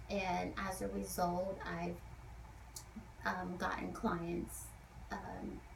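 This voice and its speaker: Soft-spoken and at a very slow pace, a woman talks with long, frequent pauses over noticeable background noise. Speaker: esthetician. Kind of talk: advice talk to camera.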